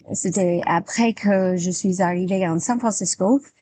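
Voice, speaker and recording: Against a quiet background, a woman with an American accent speaks at a fairly low pitch in a dark, mellow tone with ordinary pitch variation. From United States. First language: English (speaking French). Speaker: English teacher. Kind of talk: interview. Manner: halting, many hesitations.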